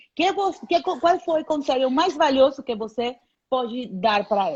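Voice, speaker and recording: In a Spanish accent, a woman with a high pitch speaks at a fairly slow pace with lively intonation. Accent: Spanish accent in Portuguese (portunhol). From Panama. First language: Spanish (speaking Portuguese). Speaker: airline captain. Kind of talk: casual live chat.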